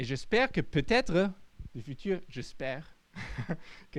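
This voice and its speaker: This speaker moves at a fairly slow pace. The voice swings very widely in pitch. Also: man. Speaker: futurologist. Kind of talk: audience Q&A answer; lecture. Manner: halting.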